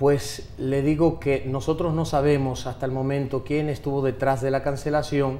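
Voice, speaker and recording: Over noticeable background noise, a man talks at a moderate pace with hardly any pauses, his fairly high voice monotone and flat. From United States (Miami), Dominican family. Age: 40s. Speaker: politician, dictator's grandson. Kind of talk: TV interview. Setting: TV studio.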